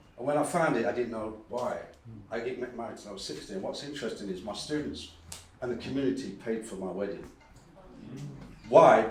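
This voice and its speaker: A man of medium pitch talks at a fairly quick pace with lively intonation. The recording has audible room echo and noticeable background noise. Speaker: academic and dub poet. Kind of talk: conference talk.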